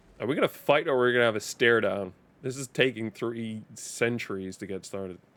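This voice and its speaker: A man speaks with an East Coast accent at a medium pitch and a fairly quick pace. His loudness swings widely while his pitch varies in an ordinary way. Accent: American East Coast sounding English. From Denmark. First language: Danish. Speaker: gaming streamer. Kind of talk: live gameplay commentary. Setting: live stream.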